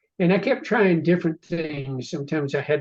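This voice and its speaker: A man talks in a somewhat breathy voice. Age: 80s. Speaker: novelist. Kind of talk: casual chat. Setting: video call.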